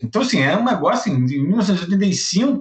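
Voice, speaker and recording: With very wide pitch swings, a man talks in a high-pitched voice. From Brazil, Rio de Janeiro. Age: 50s. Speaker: lighting designer and theatre researcher. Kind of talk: interview.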